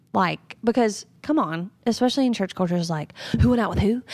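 A woman speaks with a Southern US accent at a fairly quick pace. Her intonation is lively, and the recording is very clean with a silent background. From North Carolina, US South. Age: 30s. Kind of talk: interview conversation.

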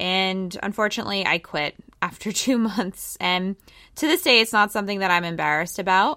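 A woman's bright, sharp tone at medium pitch with an American accent, ordinary pitch variation and a fairly quick pace, on a very clean recording with a silent background and a dry, close sound with no echo. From Pennsylvania, US. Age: 30s. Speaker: podcast host. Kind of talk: casual monologue.

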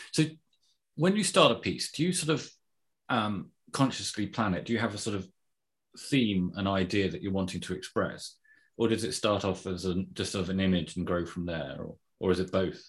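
On a very clean recording with a silent background, the speech moves at a fairly quick pace with ordinary pitch variation and long, frequent pauses. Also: man, fairly low pitch for a man. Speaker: podcast host. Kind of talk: casual interview chat.

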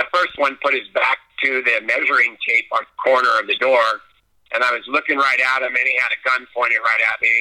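With a Californian accent, a man speaks at a fairly quick pace. His tone is bright and sharp, his intonation monotone and flat. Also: medium pitch for a man. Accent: Californian American. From Southern California. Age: 60s. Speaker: blind water sports athlete and Navy veteran. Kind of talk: interview. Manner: halting.

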